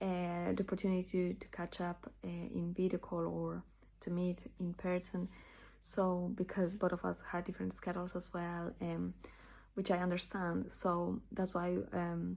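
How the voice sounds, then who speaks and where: A woman speaks with a Spanish accent. The recording is very clean with a silent background. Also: moderate pace. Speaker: channel owner sharing scripture memorization. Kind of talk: casual personal video talk. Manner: halting, many fillers.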